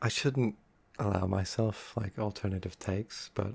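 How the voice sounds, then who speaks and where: A man's fairly low, somewhat breathy voice carries a calm tone. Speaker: ASMR creator. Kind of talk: unscripted ASMR talk. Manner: soft-spoken, calm.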